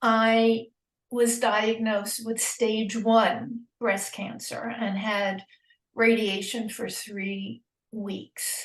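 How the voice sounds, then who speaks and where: This woman speaks very slowly with an American accent, her fairly high voice somewhat breathy. Her intonation stays flat and monotone. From New York. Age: 80s+. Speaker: cancer patient. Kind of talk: interview testimony. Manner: halting.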